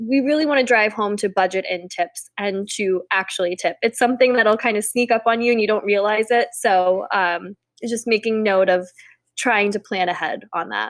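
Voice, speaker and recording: A normal speaking voice from a woman, fairly high in pitch, at a moderate pace with ordinary pitch variation, on a very clean recording with a silent background. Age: 30s. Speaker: wedding podcast co-host. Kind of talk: casual chat.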